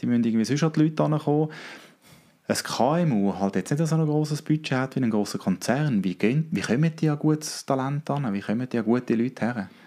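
Recorded very cleanly against a silent background, a man with a dark, mellow tone talks at a fairly quick pace and medium pitch, with ordinary pitch variation and very even loudness. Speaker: podcast host. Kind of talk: interview.

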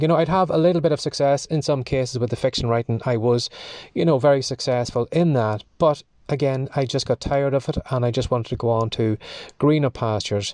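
A man with an Irish accent talks at a fairly quick pace in a dry, close sound with no echo. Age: 50s. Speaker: podcast host, writer. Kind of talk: solo monologue podcast.

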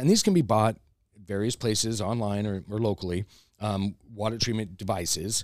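A man with an American accent and an ordinary speaking voice, medium in pitch, at a moderate pace, on a very clean recording with a silent background. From US West Coast (Los Angeles, California). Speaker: crystal shop owner and energy healer. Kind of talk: casual interview chat. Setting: in his crystal shop.

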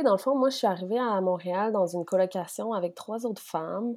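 A dark, mellow voice speaks at a fairly quick pace with ordinary pitch variation. The recording is very clean, with a silent background. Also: woman. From Quebec City, Quebec. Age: 20s. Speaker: sexology student. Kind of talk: interview.

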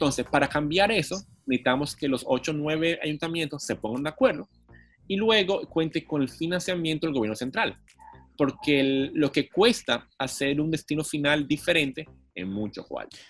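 With lively intonation, a man speaks at a fairly high pitch and a moderate pace. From Dominican Republic, Santo Domingo. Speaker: city councillor and cycling activist. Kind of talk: casual interview. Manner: animated.

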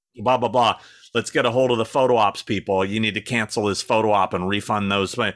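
This man has a normal speaking voice, fairly low in pitch, with fairly even intonation at a fairly quick pace. The recording is very clean, with a silent background. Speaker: YouTube creator and celebrity talent agent. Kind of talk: casual chat.

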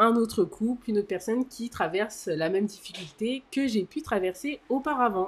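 This woman's voice swings very widely in pitch. The recording is very clean, with a silent background. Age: 30s. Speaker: podcast co-host. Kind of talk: casual chat.

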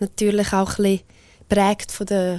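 Speaking in a Graubünden accent, a woman has a medium pitch and a dark, mellow tone. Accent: Swiss German, Bündner dialect. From Switzerland, Graubünden (Engadin). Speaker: singer. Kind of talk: interview.

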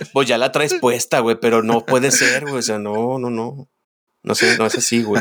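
Here a man has an unremarkable speaking voice at a medium pitch. He keeps a moderate pace and fairly even intonation. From Guadalajara, Jalisco, Mexico. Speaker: podcast co-host. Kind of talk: casual chat.

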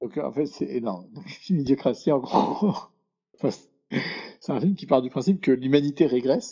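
A man speaks at a moderate pace with vocal fry and a fairly high pitch. His intonation is lively. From Paris, France. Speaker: venture capital investor. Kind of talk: podcast interview. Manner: halting.

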